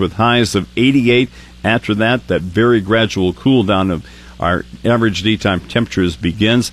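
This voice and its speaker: This man speaks at a medium pitch with ordinary pitch variation. He has a plain, everyday voice. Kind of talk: radio weather report, reading radar and forecast.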